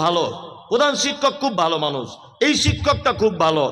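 The man's voice sits at a high pitch. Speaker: Islamic preacher. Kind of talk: sermon. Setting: religious gathering at a madrasa.

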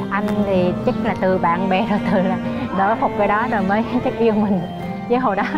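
Clear music sounds in the background while a woman talks at a moderate pace. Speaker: interviewee. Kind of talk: interview answer. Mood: cheerful, laughing while recounting hardship. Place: garden.

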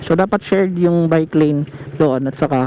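At a moderate pace, a man speaks with ordinary pitch variation amid noticeable background noise. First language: Cebuano (speaking Tagalog). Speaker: motovlogger. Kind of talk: casual vlog commentary while riding. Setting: outdoors on a motorcycle.

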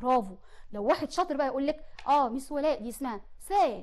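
A woman's very fast, animated speech in an Egyptian accent, with ordinary pitch variation. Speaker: teacher. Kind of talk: tutorial. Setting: studio.

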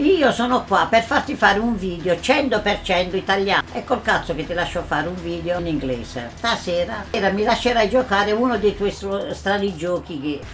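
Music plays in the background while a woman speaks. Her intonation is lively and her pace is moderate. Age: old. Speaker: grandmother playing a game. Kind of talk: casual talk while playing a video game. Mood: playful, mock-scolding. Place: home room.

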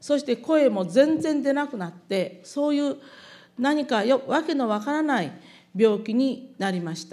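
Against a quiet background, a woman with a high pitch and a dark, mellow tone speaks fairly slowly, her intonation lively and her loudness swinging widely. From Japan (Hiroshima); Japan. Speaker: atomic bomb survivor. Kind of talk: testimony. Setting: public event with audience. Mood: solemn, calm recollection. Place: hall. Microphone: podium.

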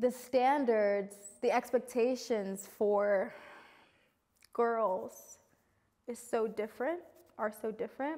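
A woman with a New York accent speaks very slowly, with long, frequent pauses, in a dark, mellow tone at a fairly high pitch and with ordinary pitch variation, against a quiet background. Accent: New York American. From New York City. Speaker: multi-creative artist; interviewee. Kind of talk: interview testimony. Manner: loud. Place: studio. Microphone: lapel.

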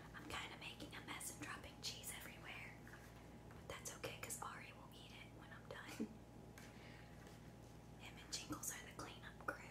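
The speaker whispers softly at a moderate pace, with long, frequent pauses and loud background noise. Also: woman. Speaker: food vlogger. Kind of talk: casual vlog chat. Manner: soft close ASMR whisper. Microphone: phone near.

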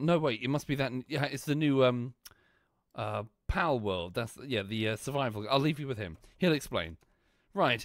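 At a moderate pace, a man talks with a medium pitch and lively intonation on a very clean recording with a silent background.

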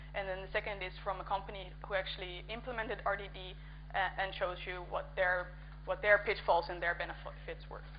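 A woman with a Dutch accent speaks at a moderate pace over noticeable background noise. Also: hardly any pauses. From Netherlands. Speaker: conference speaker and coding workshop organizer. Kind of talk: conference talk. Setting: conference stage with audience.

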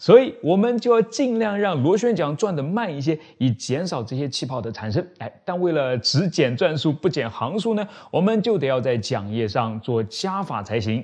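A man speaks at a moderate pace with hardly any pauses. His pitch swings very widely over a quiet background. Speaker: science channel host. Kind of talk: science explainer. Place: studio.

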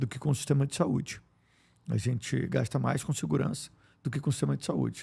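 A man speaks with vocal fry at a fairly high pitch. His tone is dark and mellow. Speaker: politician and public health official, family doctor. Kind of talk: interview. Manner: frequent filler hesitations; articulate.

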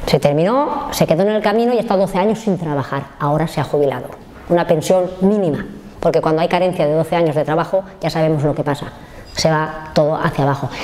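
Fairly low in pitch, a woman speaks at a very fast pace. Her pitch varies in an ordinary way. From Spain, Valencia region (Oliva); Valencia, Spain. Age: 60s. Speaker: factory worker and trade unionist; factory worker. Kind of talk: life story interview. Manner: halting. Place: home room.

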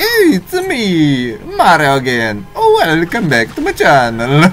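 Using a put-on character voice, a man speaks at a fairly slow pace over clear background noise. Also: fairly high pitch for a man. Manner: chipper, YouTuber greeting.

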